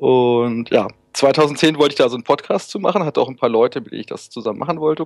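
Talking at a very fast pace, a man uses a fairly high pitch with ordinary pitch variation and big swings in loudness, the sound dry and close with no echo. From northern Germany, Hannover. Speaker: web developer and volunteer support forum moderator. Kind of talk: casual interview.

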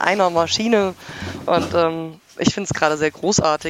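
Here is a woman with a normal speaking voice at a fairly low pitch. She talks at a fairly slow pace. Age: 20s. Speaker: hobby podcaster and CNC machinist. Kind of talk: casual chat.

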